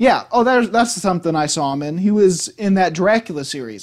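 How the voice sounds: With big pitch swings, a man talks at a moderate pace.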